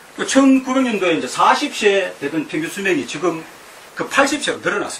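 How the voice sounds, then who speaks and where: The speech runs at a fairly quick pace with very wide pitch swings, audible room echo and noticeable background noise. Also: man, high pitch for a man. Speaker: feng shui lecturer. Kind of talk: lecture. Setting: lecture hall with audience. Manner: halting, many fillers.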